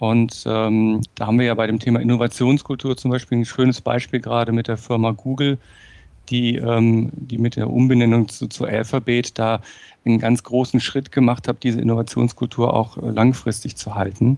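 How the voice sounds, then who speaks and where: Medium-pitched man with a dark, mellow tone and monotone, flat intonation. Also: moderate pace. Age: 40s. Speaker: management trainer and speaker. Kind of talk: interview conversation. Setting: remote call.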